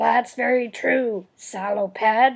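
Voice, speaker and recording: A woman performs a put-on character voice. It sits at a fairly high pitch. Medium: read story.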